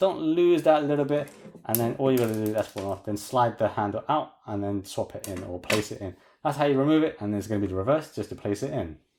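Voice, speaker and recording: Speaking with a British accent, a man talks at a very fast pace with lively intonation and a medium pitch. The recording is very clean, with a silent background. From UK. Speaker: toy collector reviewer. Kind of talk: product review tutorial. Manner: casual.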